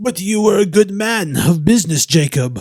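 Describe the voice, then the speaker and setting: A man does a shaky put-on character voice, pitched high, with lively intonation at a moderate pace. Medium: read story. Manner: trembling, deferential.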